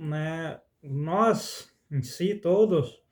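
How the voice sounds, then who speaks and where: A man's high-pitched voice. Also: very clean recording, silent background. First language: Spanish (speaking Portuguese). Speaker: spiritual content creator, songwriter. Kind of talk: spoken reflection monologue. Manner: halting.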